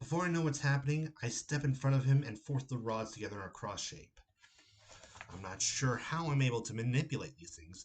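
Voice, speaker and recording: With an American accent, a man speaks in a somewhat breathy voice. His loudness swings widely. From Ohio, USA. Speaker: horror novelist. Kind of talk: horror story reading by the author.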